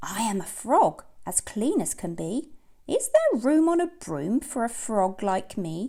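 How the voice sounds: A woman does a put-on character voice, fairly high and croaky. She moves at a fairly slow pace with very wide pitch swings.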